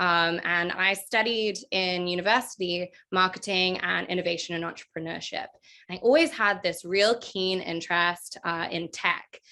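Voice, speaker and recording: Her tone is bright and sharp, with a medium pitch and fairly even intonation from this woman. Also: moderate pace, quiet background. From London, England, then New Zealand from age twelve. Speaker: marketing director. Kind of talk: podcast interview.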